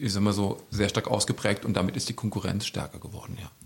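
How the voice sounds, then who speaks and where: This man has an unremarkable speaking voice at a fairly low pitch. He talks at a fairly quick pace. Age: 50s. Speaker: youth welfare worker. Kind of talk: casual interview.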